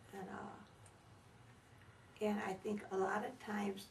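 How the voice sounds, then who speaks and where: A woman of medium pitch speaks at a moderate pace with noticeable background noise and audible room echo. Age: 80s+. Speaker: elderly interviewee. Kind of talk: interview.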